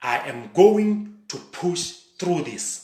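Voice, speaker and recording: A man talks in an animated tone with audible room echo. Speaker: motivational speaker and coach. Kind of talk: motivational talk.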